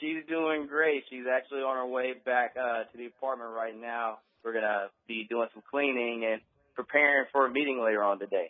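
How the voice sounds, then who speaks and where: In an American accent, a man uses a normal speaking voice at medium pitch, keeping a moderate pace and fairly even intonation. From Texas, Beaumont. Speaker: network marketer. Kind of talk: radio interview.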